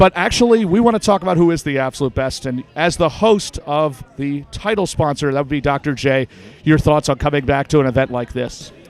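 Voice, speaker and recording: With a dry, close sound and no echo, a man in a normal speaking voice talks fairly quickly at a fairly high pitch, his intonation lively. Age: 30s. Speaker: sports interviewer and announcer. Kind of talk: red carpet interview. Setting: hotel ballroom event.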